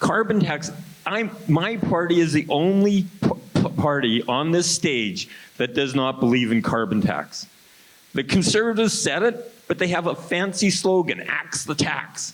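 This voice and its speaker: A man with a high pitch talks at a fairly slow pace with lively intonation. Noticeable background noise can be heard. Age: 70s. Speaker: political candidate. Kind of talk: debate. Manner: animated.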